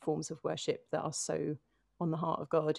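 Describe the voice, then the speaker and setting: A woman's fairly low-pitched voice moves at a moderate pace. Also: very clean recording, silent background. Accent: London. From London (North London, Finchley). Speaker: singer-songwriter and worship leader. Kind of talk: interview conversation.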